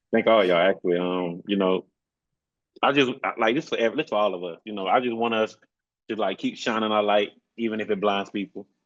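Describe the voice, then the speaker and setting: At a fairly quick pace, a man with a Southern US accent talks in a fairly low pitch. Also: ordinary pitch variation. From rural South Carolina. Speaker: program graduate, medical trainee. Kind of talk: casual conversation. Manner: loud.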